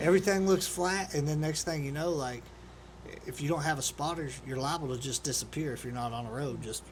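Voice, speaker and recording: A man talks at a fairly quick pace in a fairly high, somewhat breathy voice. His pitch varies in an ordinary way. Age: 40s. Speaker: podcast host. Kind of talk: casual interview.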